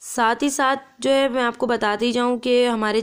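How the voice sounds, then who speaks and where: A woman's monotone, flat intonation against a quiet background. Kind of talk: tutorial. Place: kitchen.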